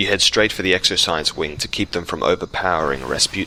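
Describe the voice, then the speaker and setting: A man with a very deep, low pitch, vocal fry, a bright, sharp tone and a fairly quick pace. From South Australia. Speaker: gaming video creator. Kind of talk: scripted narration.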